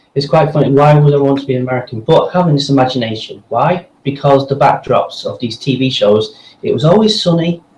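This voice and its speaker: At a fairly quick pace, a somewhat breathy voice talks with ordinary pitch variation. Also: man, fairly high pitch for a man, hardly any pauses. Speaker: voice actor. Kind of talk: casual interview.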